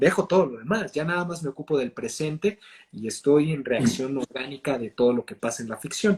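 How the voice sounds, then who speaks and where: At a fairly quick pace, a man with an ordinary speaking voice talks in a fairly high pitch with ordinary pitch variation and a dry, close sound with no echo. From Mexico. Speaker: actor and voice and accent coach. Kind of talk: interview answer.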